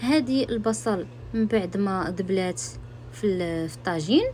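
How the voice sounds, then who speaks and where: A woman with a Moroccan accent speaks at a moderate pace. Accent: Moroccan Arabic (Darija). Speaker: home cook, cooking channel host. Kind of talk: cooking tutorial voiceover. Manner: hesitant, frequent restarts.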